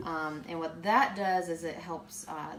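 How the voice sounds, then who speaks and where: With noticeable background noise and audible room echo, a woman speaks with fairly even intonation. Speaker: cooking channel host. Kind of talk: live cooking tutorial. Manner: hesitant with many fillers.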